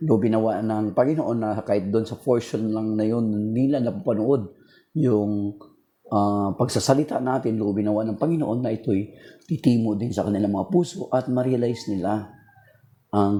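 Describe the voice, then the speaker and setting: A man with a dark, mellow tone and ordinary pitch variation, in a very clean recording with a silent background. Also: medium pitch for a man, moderate pace. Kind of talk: religious talk livestream. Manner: casual, code-switching Tagalog-English.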